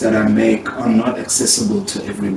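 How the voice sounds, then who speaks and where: A man with a South African accent, at a moderate pace and with ordinary pitch variation. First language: Afrikaans. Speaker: artist. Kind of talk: interview.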